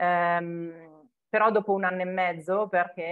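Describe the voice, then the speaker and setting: The woman's intonation is monotone and flat. The background is quiet. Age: 40s. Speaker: home organization consultant; interviewee. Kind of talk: interview. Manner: hesitant, many fillers. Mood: warm, reflective. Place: home room. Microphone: earbuds.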